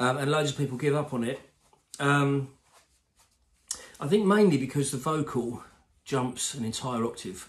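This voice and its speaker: A somewhat breathy man speaks at a fairly high pitch with ordinary pitch variation. His pace is moderate, broken by long, frequent pauses. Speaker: guitar teacher. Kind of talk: tutorial.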